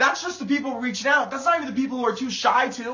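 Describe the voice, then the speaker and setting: A loud man's voice at an extremely high pitch. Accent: American. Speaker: motivational speaker. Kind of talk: motivational livestream talk. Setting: live video stream. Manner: animated.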